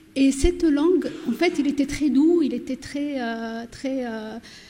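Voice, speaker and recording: Over noticeable background noise, a woman with a high pitch speaks at a fairly slow pace with fairly even intonation. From southern Morocco, Berber oasis village. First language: Berber (Amazigh) (speaking French). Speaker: novelist. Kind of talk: panel discussion.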